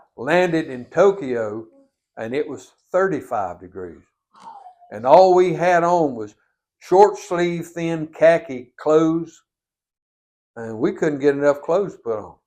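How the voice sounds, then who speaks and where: With a North Carolina accent, a man speaks in a dark, mellow tone at a fairly high pitch and a fairly slow pace, his intonation lively, his loudness swinging widely, and his speech broken by long, frequent pauses. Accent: Southern US (North Carolina). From Catawba County, North Carolina. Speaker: Vietnam War veteran. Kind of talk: oral history interview answer.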